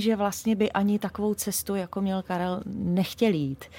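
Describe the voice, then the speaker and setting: Somewhat breathy and at a medium pitch, a woman speaks with ordinary pitch variation on a very clean recording with a silent background. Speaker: singer. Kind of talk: interview. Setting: radio studio.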